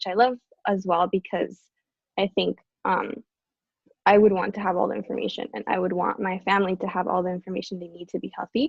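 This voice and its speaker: Talking at a very fast pace, a woman keeps a fairly even intonation with vocal fry. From Costa Rica. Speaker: college student volunteer. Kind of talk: panel discussion.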